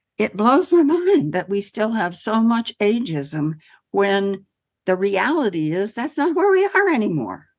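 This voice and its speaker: With a fairly high pitch and very wide pitch swings, a woman speaks at a fairly slow pace. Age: 70s. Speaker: podcast host. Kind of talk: casual chat.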